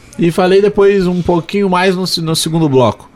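At a fairly slow pace, a man with a high pitch and ordinary pitch variation speaks over noticeable background noise. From Porto Alegre, southern Brazil. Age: 20s. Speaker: sports radio commentator. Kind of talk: casual interview.

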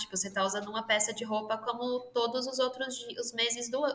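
A woman's fairly high, bright, sharp voice with ordinary pitch variation. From São Paulo, Brazil. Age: 30s. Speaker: entrepreneur. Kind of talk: interview.

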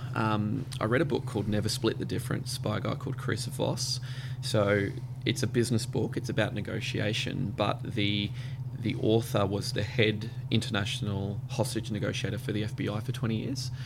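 With an Australian accent, a man talks at a moderate pace in a medium pitch with monotone, flat intonation. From Australia, Brisbane. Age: 30s. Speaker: radio network manager. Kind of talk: casual interview.

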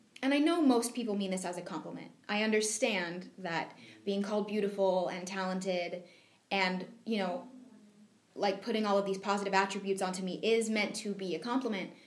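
A fairly quick pace and ordinary pitch variation, with audible room echo. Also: woman, medium pitch for a woman. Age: 20s. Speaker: reality show contestant. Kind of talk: interview.

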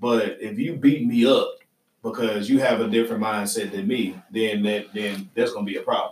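Moderate pace, with a Southern US accent. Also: man. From US South. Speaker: podcast host. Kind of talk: casual chat. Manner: laughing often.

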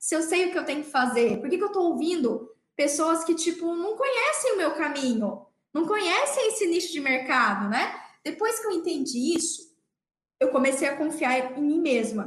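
The voice moves through very wide pitch swings at a moderate pace, with audible room echo. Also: woman, high pitch for a woman. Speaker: dentist and podcast host. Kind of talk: motivational talk. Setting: livestream. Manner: animated.

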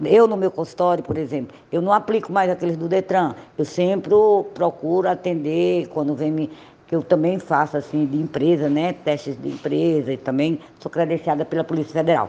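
Her pitch very deep and low, a woman talks at a moderate tempo. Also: ordinary pitch variation. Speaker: traffic psychologist. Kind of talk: interview. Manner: halting.

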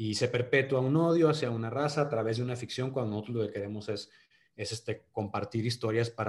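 A somewhat breathy man with a Monterrey accent and fairly even intonation. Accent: Monterrey (regio). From Monterrey, northern Mexico. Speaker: actor. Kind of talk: casual interview.

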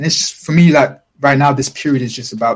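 A man's somewhat breathy, fairly high voice at a fairly quick pace. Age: young. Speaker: music producer. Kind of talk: casual chat.

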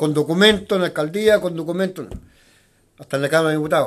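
The pace is very fast. A man talks with ordinary pitch variation. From Chile, northern nitrate pampas. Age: 70s. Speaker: neighborhood association leader. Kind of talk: interview. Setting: neighborhood association office.

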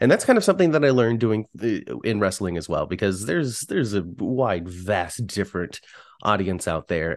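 With an American accent, a man uses a plain, everyday voice, speaking at a fairly quick pace with lively intonation against a quiet background. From US West Coast, San Francisco Bay Area. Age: 30s. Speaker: podcaster and former indie wrestling manager. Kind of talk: casual chat.

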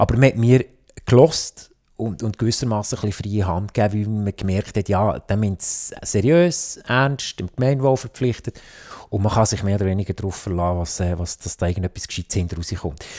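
In a Fribourg accent, a man speaks at a fairly low pitch and moderate pace with a dark, mellow tone. His pitch varies in an ordinary way, and the sound is dry and close, with no echo. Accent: Sense German (Fribourg Swiss German dialect). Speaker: politician and IT entrepreneur. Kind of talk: interview. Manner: halting, many fillers and restarts.

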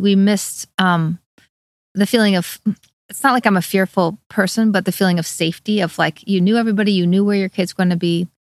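At a fairly quick pace, a woman with a normal speaking voice talks at a medium pitch with ordinary pitch variation, in a dry, close sound with no echo. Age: 50s. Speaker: bike shop owner and former social worker. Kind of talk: interview.

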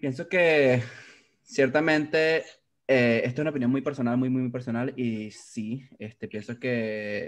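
A man speaks with a Venezuelan accent at a very slow pace. His pitch varies in an ordinary way. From Venezuela, Valencia (Carabobo). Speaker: graphic designer. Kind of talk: casual interview.

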